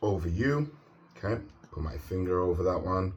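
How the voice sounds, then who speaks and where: Fairly slow in pace, the speech comes across as somewhat breathy. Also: man. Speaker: tarot reader. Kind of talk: tarot reading.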